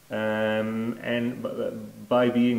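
A man with a Dutch accent. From Netherlands. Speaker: network product manager; conference presenter. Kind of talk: conference presentation. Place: hall. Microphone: lapel.

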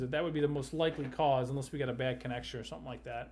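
Talking at a very fast pace with vocal fry, a man is heard over light background noise. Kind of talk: phone consultation advice. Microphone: webcam.

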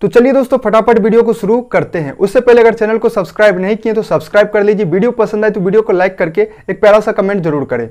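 Over a quiet background, a man with a high pitch talks at a fairly quick pace with ordinary pitch variation. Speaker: travel vlogger. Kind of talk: travel guide talk to camera. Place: home room. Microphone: lapel.

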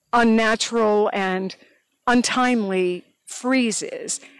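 A woman is heard in a dry sound with no echo over a quiet background. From Northeast Tennessee; Tennessee. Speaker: beekeeper; interviewee. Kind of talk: oral history interview. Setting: outdoors in garden. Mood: warm, animated reminiscing. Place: garden. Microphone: handheld.

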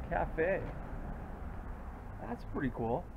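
Very slowly, a man talks over light background noise. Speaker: vlogger. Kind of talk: casual vlog chat. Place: street. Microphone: phone near.

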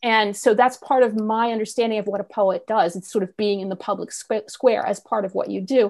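Against a quiet background, a woman speaks at a moderate pace in a fairly high pitch with ordinary pitch variation. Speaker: poet. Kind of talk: poetry reading and panel discussion. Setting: video call. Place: home room. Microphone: earbuds.

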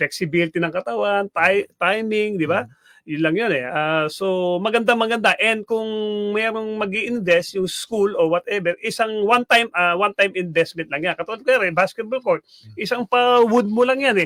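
A man's high-pitched voice, bright and sharp in tone, with ordinary pitch variation and a fairly quick pace, in a dry, close sound with no echo. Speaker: sports analyst. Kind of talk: radio talk show discussion. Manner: halting, many fillers.

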